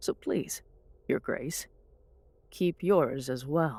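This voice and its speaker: A woman puts on a character voice, pitched fairly low. She speaks at a very slow pace. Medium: read story. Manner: blunt, defiant.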